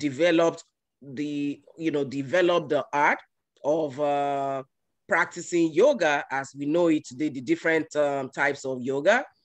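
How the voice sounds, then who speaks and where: With a Yoruba accent, a man speaks at a moderate pace in a fairly high pitch. His intonation is fairly even, and the background is quiet. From Nigeria, Yoruba. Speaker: guest speaker at a yoga event. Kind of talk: talk. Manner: hesitant, many fillers.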